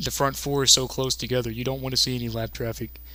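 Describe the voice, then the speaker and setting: A man speaks over noticeable background noise. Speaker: sim racing commentator. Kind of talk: live commentary. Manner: animated.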